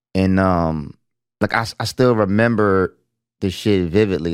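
A man with a normal speaking voice, fairly low in pitch, with fairly even intonation, in a very clean recording with a silent background. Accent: American. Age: 40s. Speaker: podcast co-host. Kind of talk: casual chat.

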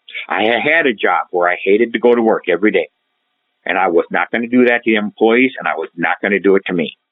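At a very fast pace, a man speaks at a medium pitch. His pitch varies in an ordinary way. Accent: Upper Midwest US. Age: 60s. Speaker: retired credit union president. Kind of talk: interview.

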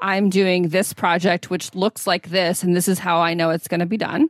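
A woman with a normal speaking voice at medium pitch, fairly even intonation, and a moderate pace. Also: dry, close sound with no echo. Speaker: podcast host. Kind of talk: casual chat.

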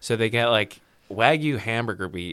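In a western Canadian accent, a man talks at a moderate pace with a medium pitch and a bright, sharp tone. The recording is very clean, with a silent background. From Vancouver, British Columbia, Canada. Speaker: radio host. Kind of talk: casual chat.

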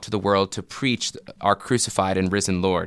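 The tone is bright and sharp, delivered at a moderate pace. The sound is dry and close with no echo, in a very clean recording with a silent background. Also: man. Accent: American. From US South. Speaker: podcast host and theology professor. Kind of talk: interview.

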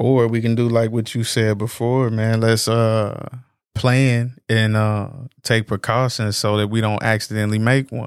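A monotone with flat intonation at a fairly slow pace, in a very clean recording with a silent background. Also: man, medium pitch for a man. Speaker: podcast co-host. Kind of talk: casual chat.

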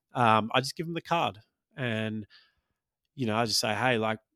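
A man with an Australian accent, fairly low pitch and a relaxed tone, fairly quick pace, in a very clean recording with a silent background. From Australia, Maltese-Australian family. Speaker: stand-up comedian and podcast host. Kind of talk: casual solo podcast chat. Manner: relaxed, frequent ums and laughs.

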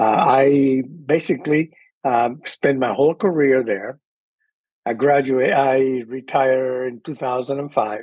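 Speaking at a very slow pace, a man talks in a Spanish accent. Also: medium pitch for a man, fairly even intonation. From Cuba. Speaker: microbiologist. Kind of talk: interview.

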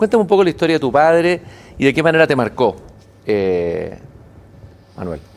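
A man with a fairly high pitch speaks at a moderate pace, his pitch swinging very widely and his pauses long and frequent. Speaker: TV interviewer. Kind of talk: interview. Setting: studio with live broadcast.

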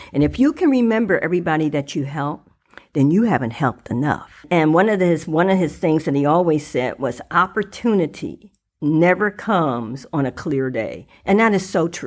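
In an ordinary speaking voice with an American accent, a woman talks at a moderate pace with a fairly low pitch and lively intonation. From Dayton, Ohio. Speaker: former politician. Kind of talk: casual interview.

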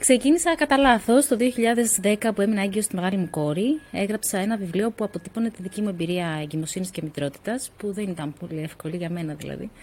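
A woman's somewhat breathy voice moves fairly quickly, its intonation lively. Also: medium pitch for a woman. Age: 40s. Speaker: author and co-founder of a women's nonprofit. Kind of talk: interview conversation.

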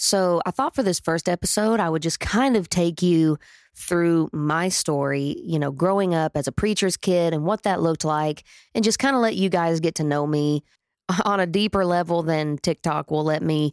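A woman with a Southern US accent keeps very even loudness and ordinary pitch variation in a very clean recording with a silent background. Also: fairly low pitch for a woman, moderate pace. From Oklahoma. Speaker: podcast host and country singer. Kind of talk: casual storytelling monologue. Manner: chatty, rambling.

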